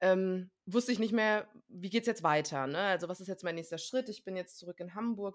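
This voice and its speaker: A woman with an unremarkable speaking voice talks at a fairly quick pace in a medium pitch. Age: 30s. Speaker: trained actress and coach, course graduate. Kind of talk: interview.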